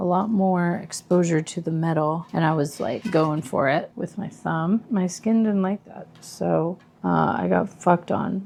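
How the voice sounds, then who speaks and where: A soft-spoken woman mumbles at a fairly slow pace, her fairly low voice showing ordinary pitch variation. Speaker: musician vlogger. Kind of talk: casual vlog monologue. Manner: mumbling.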